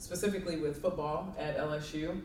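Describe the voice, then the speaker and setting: Fairly even intonation in a slight Southern accent, with noticeable background noise and audible room echo. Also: woman. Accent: slight southern drawl. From Kentucky, Louisville. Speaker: college sports administrator. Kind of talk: interview.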